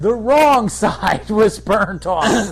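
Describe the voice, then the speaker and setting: A man talks over noticeable background noise. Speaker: podcast co-host. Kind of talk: casual chat. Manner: animated.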